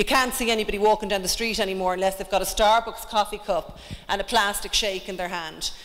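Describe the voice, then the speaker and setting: A woman with an Irish accent speaks at a medium pitch in a monotone, flat intonation. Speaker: fitness trainer and wellness coach. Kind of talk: conference presentation. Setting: stage with audience.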